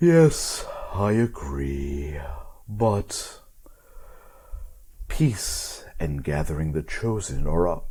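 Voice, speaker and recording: A man in a put-on character voice speaks very slowly at a fairly low pitch, with very wide pitch swings and long, frequent pauses. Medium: actual play. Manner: smooth and dapper.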